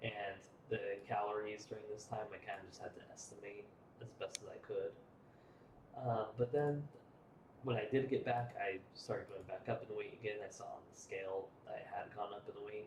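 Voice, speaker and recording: Quiet overall with big swings in loudness, a man speaks at a moderate pace. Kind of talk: casual vlog talk to camera. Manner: quiet, low energy.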